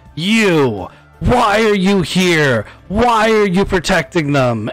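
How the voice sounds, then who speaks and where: Faint music plays behind a man who uses a put-on character voice at a high pitch and a very slow pace. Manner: angry.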